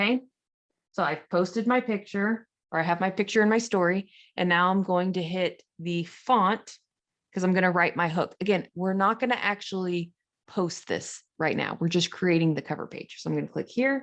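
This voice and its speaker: Against a quiet background, a woman with an unremarkable speaking voice talks at a moderate pace and medium pitch, with ordinary pitch variation. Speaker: social media coach. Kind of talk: tutorial. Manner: casual.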